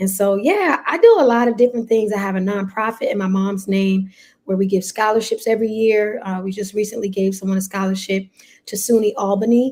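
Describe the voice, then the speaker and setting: Speaking with a New York accent, a woman holds a medium pitch and fairly even intonation. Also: fairly quick pace. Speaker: pastor. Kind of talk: casual chat.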